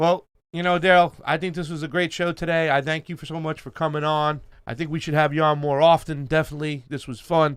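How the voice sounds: A man speaks at a fairly quick pace with a fairly high pitch and little pitch movement, his tone clear, smooth and fairly bright.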